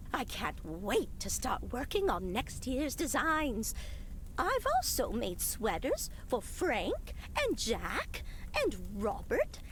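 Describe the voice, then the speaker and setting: A put-on character voice is used at a fairly slow pace. Background noise is clearly audible. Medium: video game.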